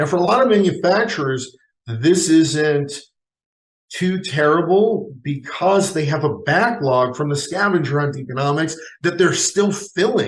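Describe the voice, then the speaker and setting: Lively intonation marks an ordinary speaking voice delivered at a fairly slow pace. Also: man, fairly high pitch for a man. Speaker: futurist, economist and keynote speaker. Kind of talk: keynote speech on economics.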